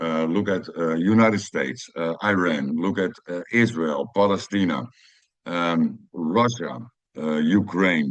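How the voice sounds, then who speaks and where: Long, frequent pauses break up the speech of a man with a Dutch accent, whose very deep, low pitch shows ordinary variation. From Netherlands, Amsterdam. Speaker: personal growth video creator. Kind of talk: personal monologue. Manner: halting, many fillers.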